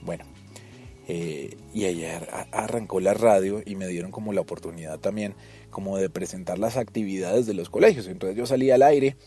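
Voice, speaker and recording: A man with a Colombian accent at a moderate pace, big swings in loudness, and music in the background. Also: fairly low pitch for a man, ordinary pitch variation. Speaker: radio announcer. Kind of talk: casual podcast storytelling.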